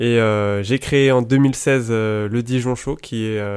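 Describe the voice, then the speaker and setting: A man speaks in a flat monotone at a medium pitch and a very slow pace. The recording is very clean, with a silent background. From Paris region, France. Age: 20s. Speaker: football fan media creator. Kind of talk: casual chat.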